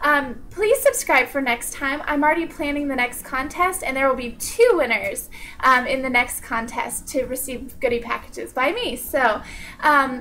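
A woman speaks in a raised, projected voice with ordinary pitch variation. There is light background noise. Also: moderate pace. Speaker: channel host. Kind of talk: casual vlog chat. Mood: cheerful, upbeat. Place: home room. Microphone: webcam.

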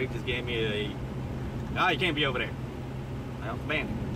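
Male speaker over loud background noise. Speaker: urban explorer vlogger. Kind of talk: casual vlog chat. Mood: mildly annoyed, relaxed. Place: car. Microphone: phone near.

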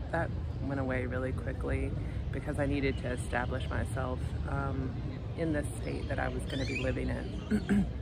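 With loud background noise, a woman talks at a moderate pace in a dry sound with no echo. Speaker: life coach and vlogger. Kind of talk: casual vlog monologue. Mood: frank, somewhat weary storytelling. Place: street. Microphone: phone near.

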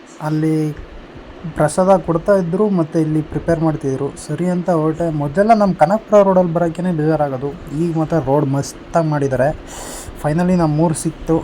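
Noticeable background noise runs under this recording. The man's voice sits at a fairly high pitch. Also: fairly even intonation. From Karnataka, village off Kanakapura Road. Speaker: village life vlogger. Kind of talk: vlog narration. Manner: casual, conversational.

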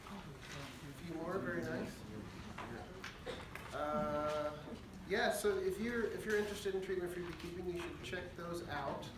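A man at a fairly high pitch and fairly slow pace, with long, frequent pauses, ordinary pitch variation, audible room echo and clear background noise.

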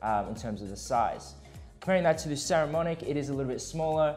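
Fairly quick pace over faint music in the background. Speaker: gear reviewer. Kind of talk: product review chat. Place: meeting room. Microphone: lapel.

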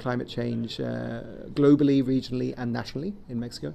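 A man speaks with a southern English accent at a moderate pace. Light background noise sits behind him. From Kent, southeast England. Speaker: water resources specialist. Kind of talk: interview. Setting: conference event. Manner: hesitant, many fillers. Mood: calm, reflective. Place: office. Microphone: webcam.

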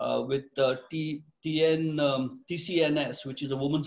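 A man speaks in a somewhat breathy, fairly high voice with flat, monotone intonation against a quiet background. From India. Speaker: retired tech executive, company director. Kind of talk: interview. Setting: video call. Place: home room. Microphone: video call.

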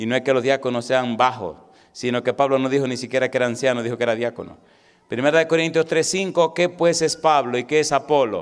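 The background stays quiet. A man talks fairly quickly, with ordinary pitch variation. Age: 40s. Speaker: pastor. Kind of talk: sermon. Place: church. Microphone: handheld.

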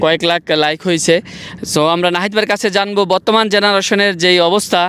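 A man's high-pitched, monotone, flat voice against noticeable background noise. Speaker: YouTube vlogger, interviewer. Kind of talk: interview. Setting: outdoors in desert hills.

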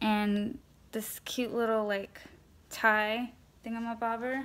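In an American accent, a woman speaks at a very slow pace. Her pitch is fairly high. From California, Los Angeles. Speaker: vintage clothing seller, YouTuber; vintage clothing seller. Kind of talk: casual haul video; casual vlog chat. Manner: many fillers (um). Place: home room. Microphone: phone near.

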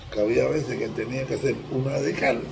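At a moderate pace, a man talks with a Cuban accent over noticeable background noise. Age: 80s+. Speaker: Ifa priest (babalawo). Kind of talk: religious teaching talk to camera. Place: home room. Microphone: phone near.

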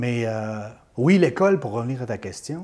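In a plain, everyday voice, a man speaks at a medium pitch and a fairly slow pace. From Quebec, Beauce region. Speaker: former radio host. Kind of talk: interview, life story. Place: home room. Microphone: lapel.

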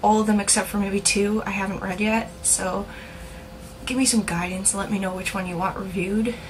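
A woman's intonation stays fairly level while noticeable noise sounds in the background. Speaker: video blogger. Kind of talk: casual vlog monologue. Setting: home video, talking to camera. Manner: casual, chatty, halting.

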